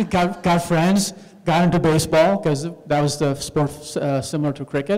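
The man's pitch is high, and his intonation stays fairly even. He keeps a moderate pace. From Karachi, Pakistan. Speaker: chief of police. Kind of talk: storytelling talk to audience. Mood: calm reflective. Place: hall. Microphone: handheld.

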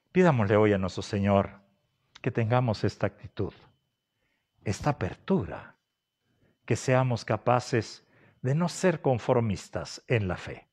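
Against a quiet background, a man with a medium-pitched voice talks at a fairly slow pace, leaving long, frequent pauses. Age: 60s. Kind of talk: sermon. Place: home room.

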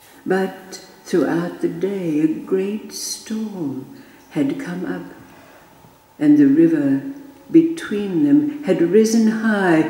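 The speaker goes at a very slow pace, with audible room echo around the voice. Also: woman. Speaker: storyteller. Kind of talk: storytelling. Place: home room.

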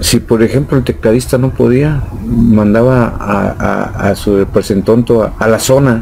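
With hardly any pauses and very even loudness, a man speaks at a fairly slow pace and fairly even intonation over light background noise. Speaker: rock drummer. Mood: relaxed storytelling. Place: shop. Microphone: studio mic.

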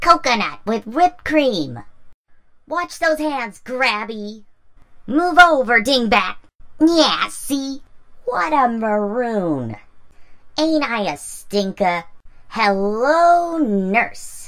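In a cartoonish character voice with a fairly high pitch, the speaker goes at a very slow pace with long, frequent pauses. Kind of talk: classic cartoon impression. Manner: cheeky, mischievous.

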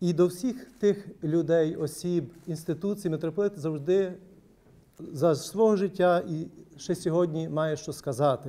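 A man speaks with a high pitch. His tone is dark and mellow. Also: ordinary pitch variation. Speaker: panelist. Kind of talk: formal round-table speech. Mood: calm, reflective. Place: meeting room.

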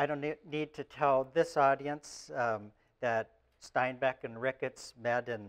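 At a fairly slow pace and with ordinary pitch variation, a man speaks over a quiet background. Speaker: lecturer. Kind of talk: lecture. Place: classroom. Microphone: lapel.

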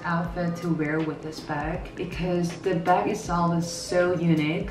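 Clear music plays in the background. Over it, a woman speaks at a fairly low pitch. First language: Korean. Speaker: fashion YouTuber. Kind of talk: casual talk to camera. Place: home room. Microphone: camera far.

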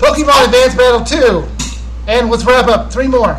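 The speaker talks at a fairly slow pace. Light background noise can be heard. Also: man. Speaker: YouTube gaming channel host; gaming vlogger host. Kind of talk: casual live Q&A stream. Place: home room. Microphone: webcam.

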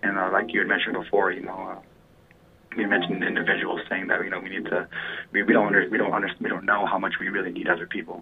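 Over noticeable background noise, a man with an American accent speaks very fast in a monotone, flat intonation. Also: fairly low pitch for a man. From Flagstaff, Arizona. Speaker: Native community activist. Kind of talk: radio interview. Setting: phone call. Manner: halting, many fillers.

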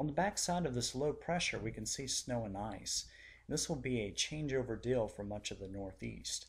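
With lively intonation and a somewhat breathy quality, the voice moves at a moderate pace on a very clean recording with a silent background. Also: man, medium pitch for a man. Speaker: weather forecaster. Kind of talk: scripted weather forecast report. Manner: measured, formal newscaster-style delivery reading data.

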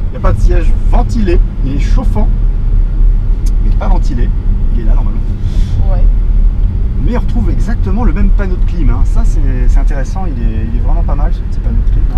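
Loud background noise surrounds this recording. A man talks at a fairly quick pace. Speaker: car reviewer driving. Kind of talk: car review commentary. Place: car. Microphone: camera far.

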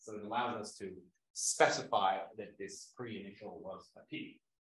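A man talks at a moderate pace with fairly low pitch and fairly even intonation, his loudness swinging widely. Room echo is audible. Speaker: linguistics lecturer. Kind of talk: lecture. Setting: classroom with live audience. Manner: informal, with frequent fillers and hesitations. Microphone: webcam.

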